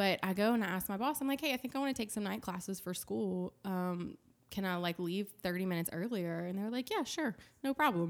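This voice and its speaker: A woman at a fairly quick pace with lively intonation, in a very clean recording with a silent background. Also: medium pitch for a woman. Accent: Louisiana. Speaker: church accounting director. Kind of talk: casual interview chat, testimony.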